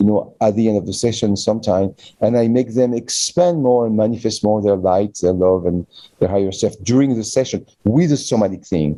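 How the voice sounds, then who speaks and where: Fairly low-pitched male voice with a French accent, dark and mellow in tone, at a fairly quick pace, with ordinary pitch variation and very even loudness. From France. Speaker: physician and manual therapy teacher. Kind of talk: interview. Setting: online call. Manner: speeds up when passionate.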